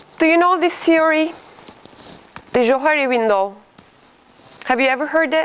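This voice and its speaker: Against noticeable background noise, a woman with a high pitch speaks at a moderate pace, leaving long, frequent pauses. Her loudness is very even and her pitch varies in an ordinary way. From Turkey. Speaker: leadership trainer. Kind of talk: interactive workshop talk. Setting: room with live audience.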